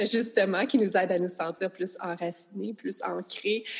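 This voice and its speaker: A woman speaks fairly slowly while noticeable noise fills the background. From rural Quebec. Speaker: nutritionist. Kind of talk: casual chat.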